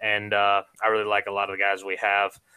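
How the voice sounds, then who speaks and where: A man speaks with an American accent and a bright, sharp tone. The recording is very clean, with a silent background. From Savannah, Georgia, US South. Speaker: sports podcaster and former athlete. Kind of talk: casual interview chat. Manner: talkative, sportscaster-style delivery.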